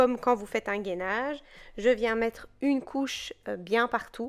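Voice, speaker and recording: On a very clean recording with a silent background, a woman speaks. Her fairly high pitch follows a fairly even intonation. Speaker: nail technician tutorial creator. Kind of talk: tutorial. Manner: hesitant, stumbling over words.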